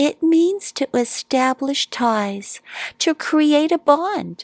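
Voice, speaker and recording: A woman puts on a character voice, high in pitch. She speaks at a very slow pace in a calm tone. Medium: read story. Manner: calm, wise.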